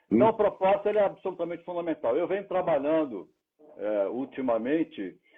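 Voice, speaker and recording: A man with a high voice speaks at a fairly quick pace, with lively intonation. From Brazil, Santos (São Paulo coast). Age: 70s. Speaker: speaker and senior tech advocate. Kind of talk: interview conversation. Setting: live stream.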